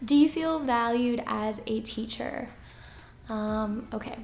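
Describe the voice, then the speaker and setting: Soft-spoken and high-pitched, a woman talks with ordinary pitch variation amid audible room echo. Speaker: teacher and YouTuber. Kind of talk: casual Q&A vlog.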